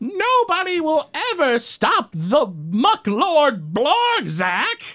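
A put-on character voice speaks with a high pitch at a very slow pace. Its pitch swings very widely. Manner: menacing, boastful.

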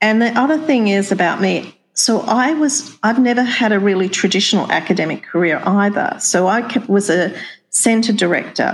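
A somewhat breathy woman with an Australian accent speaks at a fairly high pitch, her loudness very even. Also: lively intonation, moderate pace. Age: 60s. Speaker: nursing dean and professor. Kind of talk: interview.

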